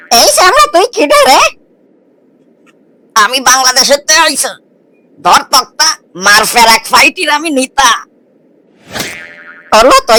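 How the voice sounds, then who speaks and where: A cartoonish character voice pitched high speaks at a moderate pace while sound effects play in the background. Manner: blustering, self-important.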